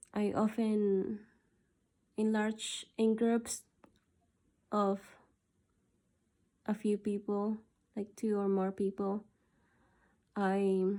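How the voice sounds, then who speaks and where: Speaking at a medium pitch, a woman goes at a very slow pace. Her intonation is monotone and flat, broken by long, frequent pauses. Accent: Spanish. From South America. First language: Spanish. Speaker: video diarist. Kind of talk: personal gratitude monologue. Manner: halting.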